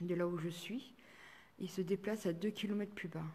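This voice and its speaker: Here is a woman at a medium pitch, her tone dark and mellow. Her voice is somewhat breathy. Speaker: paranormal investigator. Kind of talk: live stream investigation commentary. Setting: chapel, live stream. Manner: halting.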